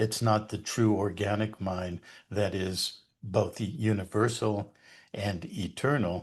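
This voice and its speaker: A man's fairly low-pitched, somewhat breathy voice at a very slow pace against a quiet background. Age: 70s. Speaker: founder of a spiritual society, interview guest. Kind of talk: interview conversation. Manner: hesitant with frequent fillers.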